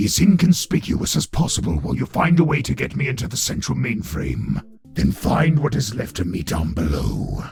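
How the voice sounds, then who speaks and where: A man uses a put-on character voice with a very deep, low pitch. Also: moderate pace. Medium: audio drama.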